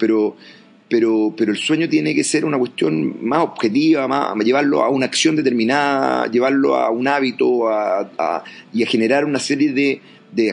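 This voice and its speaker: A man at medium pitch and a moderate pace, against noticeable background noise. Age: 40s. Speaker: education entrepreneur and coach. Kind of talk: interview. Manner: halting.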